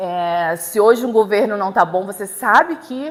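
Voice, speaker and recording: Her pitch is medium for a woman, and it varies in an ordinary way. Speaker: law lecturer. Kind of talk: lecture. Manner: hesitant, many fillers and repetitions.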